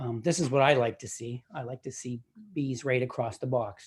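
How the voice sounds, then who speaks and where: The man's voice has a dark, mellow tone. There is some breathiness in it. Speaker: beekeeper giving a talk. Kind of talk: presentation at a virtual club meeting. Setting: video call. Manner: fast.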